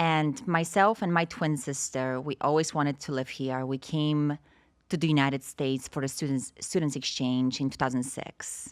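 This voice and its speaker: There is a very clean recording here with a silent background. A woman with a Polish accent speaks at a moderate pace, her very deep, low pitch showing ordinary variation. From Poland. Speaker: stem cell industry representative. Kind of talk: podcast interview.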